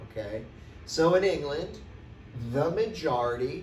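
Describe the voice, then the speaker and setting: Lively in intonation and marked by vocal fry, a man talks at a fairly slow pace in a fairly high pitch. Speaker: teacher. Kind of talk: classroom lecture. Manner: casual.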